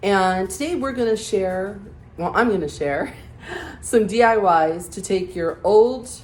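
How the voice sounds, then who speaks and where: Speaking fairly slowly with lively intonation, a woman at medium pitch is heard with audible echo from the room. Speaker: DIY home decor creator. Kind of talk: tutorial.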